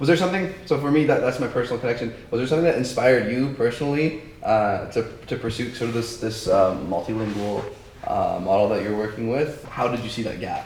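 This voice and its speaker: A man at a medium pitch and very fast pace, lively intonation, audible room echo and noticeable background noise. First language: not English. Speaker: student podcast host. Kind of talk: podcast interview.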